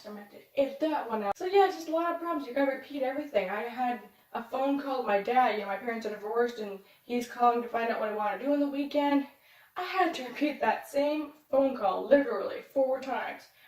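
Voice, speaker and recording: Over noticeable background noise, a woman with a high pitch speaks very fast, her intonation lively and her loudness swinging widely. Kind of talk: storytime vlog.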